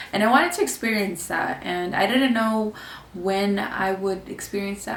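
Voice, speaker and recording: In a Californian accent, a woman speaks with audible room echo and noticeable background noise. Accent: Californian American English. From California, Mexican American. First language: Spanish. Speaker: vlogger, student. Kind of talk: casual vlog talk.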